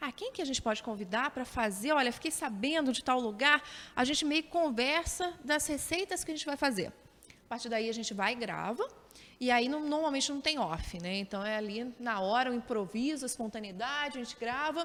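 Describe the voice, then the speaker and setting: Her voice high-pitched and her intonation lively, a woman talks at a fairly quick pace. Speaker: TV journalist and presenter. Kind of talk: interview answers. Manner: hesitant, with repetitions and frequent tag questions.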